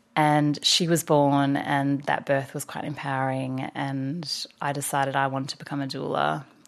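A woman's very deep, low voice in an Australian accent, monotone and flat, at a moderate pace with hardly any pauses. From Australia (Victoria coast). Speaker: doula and founder of a women's community space. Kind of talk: casual interview chat.

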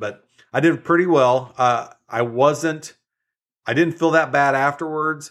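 A man talks with ordinary pitch variation. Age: 50s. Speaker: health coach and podcast host. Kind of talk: casual solo monologue. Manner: hesitant, many fillers and repeats.

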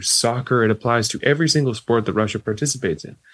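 A man with a Canadian accent talks at a fairly quick pace in an ordinary speaking voice, his pitch varying in an ordinary way. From Canada. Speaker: sports sociology professor. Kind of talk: interview.

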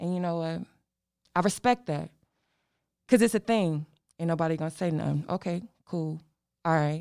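In a very clean recording with a silent background, a woman with a dark, mellow tone speaks at a moderate pace, leaving long, frequent pauses. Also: fairly low pitch for a woman, ordinary pitch variation. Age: 20s. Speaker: podcast host. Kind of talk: solo podcast monologue. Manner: animated.

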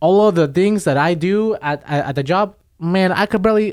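With lively intonation, a man talks at a fairly quick pace on a very clean recording with a silent background. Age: 20s. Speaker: field technician. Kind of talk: casual chat. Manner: halting, many repeated words.

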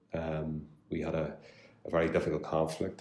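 There is audible room echo around a man with a Belfast accent whose very deep, low voice has a dark, mellow tone. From Northern Ireland, West Belfast. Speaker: solicitor. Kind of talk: interview. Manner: halting, many fillers and repeats.

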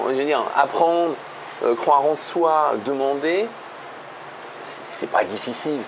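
Over noticeable background noise, a man speaks. His pace is very slow. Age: 50s. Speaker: real estate investor and financial education author. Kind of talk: casual interview.

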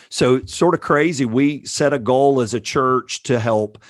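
A man with an animated tone speaks in a fairly high pitch and a Southern US accent. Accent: Southern US (Georgia). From US South, Georgia. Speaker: pastor. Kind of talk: casual interview.

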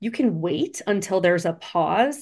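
A woman talks in a plain, everyday voice at a moderate pace with lively intonation. The background is quiet. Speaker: attorney and speaking coach. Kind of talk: casual interview conversation. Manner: conversational, laughs often.

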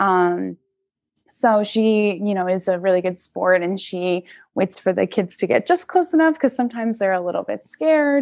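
This woman has an unremarkable speaking voice at a medium pitch. She talks at a moderate pace with lively intonation. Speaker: zookeeper. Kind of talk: casual interview chat.

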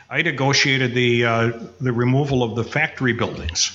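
Against noticeable background noise, a man with an American accent speaks at medium pitch. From Upper Peninsula of Michigan. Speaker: former county executive and historian. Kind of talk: casual interview.

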